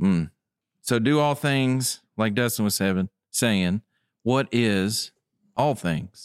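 A man with a West Tennessee accent speaks at a very slow pace with long, frequent pauses, ordinary pitch variation and very even loudness, in a very clean, dry, close recording with a silent background and no echo. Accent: US Southern (West Tennessee). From West Tennessee (Tipton County). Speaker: guest sharing testimony, Bible study. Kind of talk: Bible study discussion.

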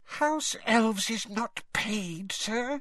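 The put-on character voice is squeaky and fairly high in pitch. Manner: timid, distressed.

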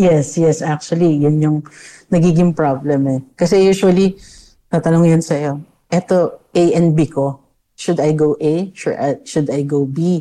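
A woman speaks with a dark, mellow tone at a very deep, low pitch. Her pace is fairly slow, her intonation fairly even and her loudness very even. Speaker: psychologist. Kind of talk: interview.

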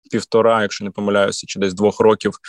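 Against a quiet background, a man with fairly low pitch talks at a very fast pace in a dry, close sound with no echo. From Ukraine, Volyn. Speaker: radio host and event MC. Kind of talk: casual chat.

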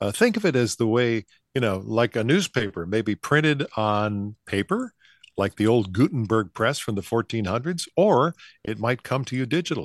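An American accent with lively intonation at a moderate pace, dry and close with no echo, over a quiet background. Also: man, medium pitch for a man. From Buffalo, New York. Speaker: veteran broadcaster. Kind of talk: casual interview. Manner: halting.

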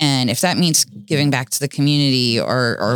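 A woman with an American accent speaks at a moderate pace in a very deep, low pitch with ordinary pitch variation. The sound is dry and close with no echo, on a very clean recording with a silent background. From US South, Florida (Boynton Beach). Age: 40s. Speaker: jeep festival founder and community volunteer. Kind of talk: interview testimony.

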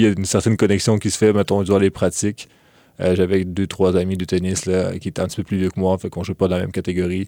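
Speaking with a Quebec accent, a man delivers his words in a very deep, low, monotone voice with a dark, mellow tone. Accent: Québécois French. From Quebec, Lévis (from age 10; born in Ukraine). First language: Russian (speaking French). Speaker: university student. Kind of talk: interview. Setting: studio. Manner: hesitant, many fillers.

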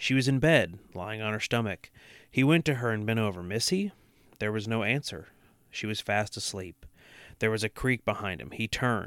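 This very clean recording, with a silent background and a dry, close sound with no echo, carries a normal speaking voice at a moderate pace with ordinary pitch variation. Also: man, fairly low pitch for a man. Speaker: podcast co-host. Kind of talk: true-crime horror narration, reading aloud from a book.

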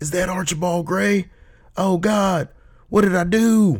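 A man's put-on character voice, high-pitched, at a fairly slow pace with fairly even intonation. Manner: anguished cry.

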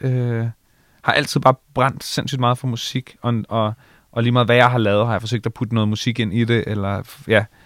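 At a moderate pace, a man speaks in a flat monotone at medium pitch, recorded very cleanly against a silent background. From Bornholm, Denmark (Allinge). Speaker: radio host and DJ. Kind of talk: casual interview. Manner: halting, many fillers and repetitions.

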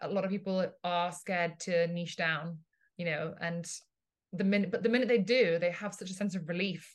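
Here a woman talks fairly quickly with an English accent and fairly even intonation. Her pitch is fairly low, and the background is quiet. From England. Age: 30s. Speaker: business and marketing coach. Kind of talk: casual chat.

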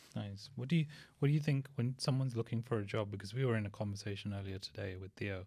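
On a very clean recording with a silent background, a man talks at a very fast pace in a dark, mellow, somewhat breathy tone. His pitch is fairly low, with ordinary variation. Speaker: podcast co-host. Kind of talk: casual interview chat.

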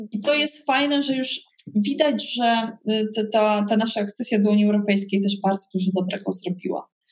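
This woman's voice is fairly high and somewhat breathy. She talks at a moderate pace with ordinary pitch variation. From Poland, Koszalin (West Pomerania). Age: 40s. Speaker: leadership trainer and entrepreneur. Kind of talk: interview.

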